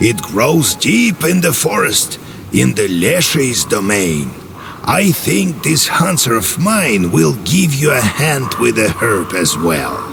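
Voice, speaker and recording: Using a put-on character voice, a man speaks at a very slow pace. Background noise is clearly audible. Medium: machinima. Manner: brusque, commanding.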